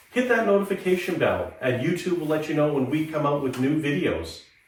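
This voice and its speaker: A man with a fairly high pitch, in audible room echo. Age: 50s. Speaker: motorcycle gear reviewer. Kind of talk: product review vlog.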